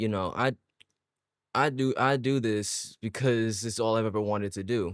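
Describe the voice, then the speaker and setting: The recording of this man is very clean, with a silent background, and the sound is dry and close with no echo. He speaks at a medium pitch with fairly even intonation. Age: 20s. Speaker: gaming streamer. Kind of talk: casual chat. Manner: fast; halting, repeats words.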